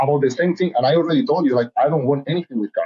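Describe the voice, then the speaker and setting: A man speaks in an animated tone with a Spanish accent. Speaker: reality TV contestant and model. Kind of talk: casual interview. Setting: podcast.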